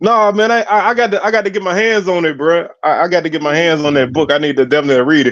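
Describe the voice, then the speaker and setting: A man talks very fast in a high voice with lively intonation. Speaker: sports talk show host. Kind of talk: casual chat. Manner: animated.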